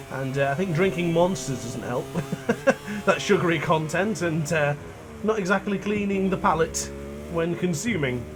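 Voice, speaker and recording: Pitched high, a man talks at a moderate pace with ordinary pitch variation and long, frequent pauses, while audible room echo and noticeable background noise sit around his voice. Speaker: gaming YouTuber. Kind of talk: gameplay commentary. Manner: talkative, chatty.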